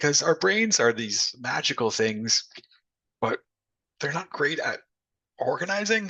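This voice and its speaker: In a put-on character voice, a man speaks fairly slowly with a raspy, high pitch that swings very widely. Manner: slow, deliberate.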